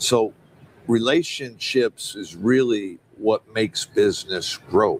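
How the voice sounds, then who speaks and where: Speaking very slowly, a man has an American accent. The sound is dry and close with no echo. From Detroit, Michigan. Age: 60s. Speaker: city mayor and restaurant owner. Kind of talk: interview conversation. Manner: animated, conversational.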